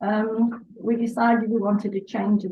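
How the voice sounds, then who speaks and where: A woman speaks at a medium pitch in a somewhat breathy voice with monotone, flat intonation. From northern England, Salford, Lancashire. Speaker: pet portrait artist. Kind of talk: casual interview. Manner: halting.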